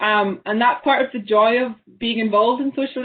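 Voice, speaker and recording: The speaker has a Highland Scottish accent. Pitch varies in an ordinary way. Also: woman. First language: Scottish Gaelic. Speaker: artist and graphic designer. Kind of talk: panel discussion. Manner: halting, with many repetitions.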